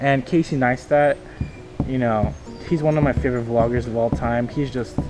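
Clear music sits in the background as a man speaks at a moderate pace with ordinary pitch variation. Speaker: vlogger. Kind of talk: casual vlog chat. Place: open country. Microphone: phone near.

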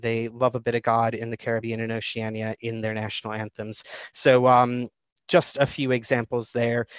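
A man with a Chicago accent speaks at medium pitch and a moderate pace. The background is quiet, and the sound is dry with no echo. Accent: American, Chicago. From Chicago, USA. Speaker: guest presenter. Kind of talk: online talk to a livestream audience. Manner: casual, hesitant with fillers. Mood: light humorous. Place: home room. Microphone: webcam.

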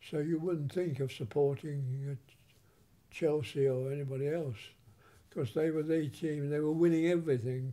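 A man's fairly high, dark, mellow voice at a moderate pace, with fairly even intonation. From England. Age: 80s+. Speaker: film director. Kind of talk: interview answer. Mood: warm nostalgic reminiscing. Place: home room.

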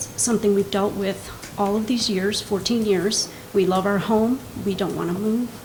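A woman's monotone, flat intonation amid noticeable background noise and audible room echo. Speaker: resident speaking at public comment. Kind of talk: public comment at council meeting. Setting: council meeting with microphone.

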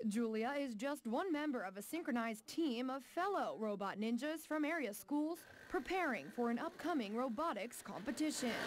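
A woman with a high pitch talks with lively intonation at a moderate pace, with hardly any pauses. Noticeable background noise runs underneath. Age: young. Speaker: TV news reporter and anchor. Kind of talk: TV news feature narration.

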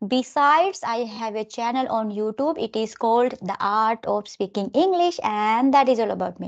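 A woman with an Indian accent speaks with lively intonation and hardly any pauses. The background is quiet. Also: fairly high pitch for a woman, moderate pace. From India, Delhi. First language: Hindi. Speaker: English tutor. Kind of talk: casual chat. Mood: calm, friendly. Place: home room. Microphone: video call.

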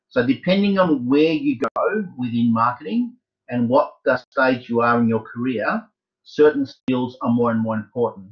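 At a moderate pace and medium pitch, this man talks with ordinary pitch variation in a normal speaking voice. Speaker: university tutor. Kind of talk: lecture. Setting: video call.

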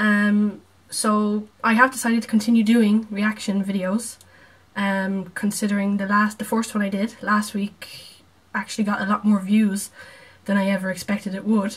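Somewhat breathy, a woman speaks with monotone, flat intonation. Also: medium pitch for a woman, moderate pace. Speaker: video reactor. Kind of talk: reaction video, casual chat. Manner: casual, chatty.

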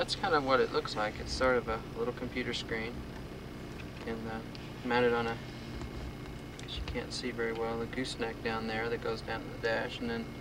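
A man's voice, dry with no echo, broken by long, frequent pauses over noticeable background noise. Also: moderate pace. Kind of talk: casual commentary. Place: car. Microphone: old recording.

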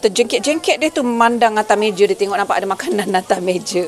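Over light background noise, a woman talks at a fairly quick pace in a normal speaking voice. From Negeri Sembilan, Malaysia. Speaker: cooking vlogger. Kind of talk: cooking tutorial; casual cooking vlog narration. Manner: casual, chatty. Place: kitchen. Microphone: phone near.

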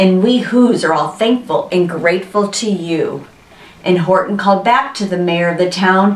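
The text is read aloud plainly. Its pitch shifts in an ordinary way.

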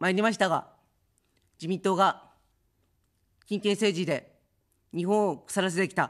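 A woman talks with fairly even intonation at a moderate pace, the background quiet. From Japan, Chiba Prefecture; Japan. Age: 50s. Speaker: political candidate; candidate. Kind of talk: campaign speech. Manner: formal. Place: studio. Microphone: studio mic.

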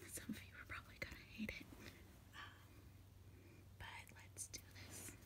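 A woman speaks at a fairly slow pace. Loud background noise surrounds her. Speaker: ASMR creator. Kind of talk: ASMR whisper video. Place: home room. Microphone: phone near.

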